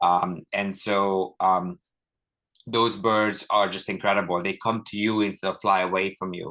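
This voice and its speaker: Against a quiet background, a man talks fairly slowly in a bright, sharp tone with flat, monotone intonation. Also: fairly low pitch for a man. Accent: Hungarian. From Hungary. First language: Hungarian. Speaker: ornithologist and book author. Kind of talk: author talk.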